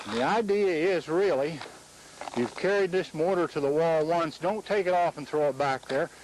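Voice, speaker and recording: The pitch variation is ordinary. Noticeable background noise runs underneath. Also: man. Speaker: mason demonstrating techniques. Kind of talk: instructional demonstration. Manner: slow, deliberate.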